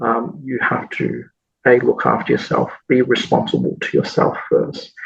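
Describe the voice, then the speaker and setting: A man with an Australian accent, at a fairly slow pace. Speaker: massage school executive. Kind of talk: podcast interview. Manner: hesitant with many repeated words.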